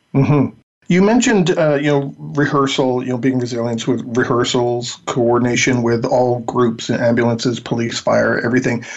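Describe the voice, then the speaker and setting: At a moderate pace with hardly any pauses, a man speaks in a normal speaking voice, medium in pitch with ordinary pitch variation. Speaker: radio podcast host. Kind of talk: interview, host banter. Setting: remote interview by phone.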